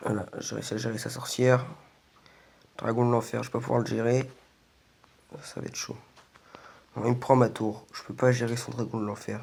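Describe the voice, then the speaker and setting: Noticeable background noise sits behind a man of medium pitch. He talks at a moderate pace with long, frequent pauses. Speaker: gaming youtuber. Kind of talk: gameplay commentary. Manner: hesitant, many fillers.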